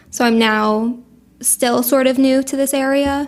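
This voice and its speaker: A woman with a New Jersey accent, high-pitched, with monotone, flat intonation. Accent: New Jersey American. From Monmouth County, New Jersey. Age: 20s. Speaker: paralegal. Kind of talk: casual interview chat.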